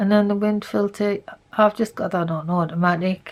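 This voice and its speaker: A soft-spoken woman talks with fairly even intonation. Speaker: photography tutorial creator. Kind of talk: tutorial.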